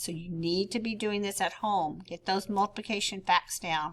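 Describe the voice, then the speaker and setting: A woman talks at a fairly slow pace at a medium pitch. She has an ordinary speaking voice. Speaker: fourth grade teacher. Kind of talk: tutorial.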